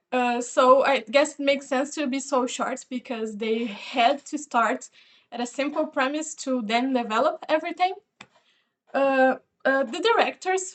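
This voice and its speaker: Speaking at a fairly slow pace, a woman with a non-native accent uses a high pitch and ordinary pitch variation. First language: not English. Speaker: video reviewer. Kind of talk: casual review monologue. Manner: hesitant, many fillers.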